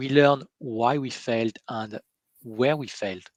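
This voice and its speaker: A man with a French accent at a fairly slow pace. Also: dry, close sound with no echo. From France. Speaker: interviewer on coaching webcast. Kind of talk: interview conversation. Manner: halting, many fillers.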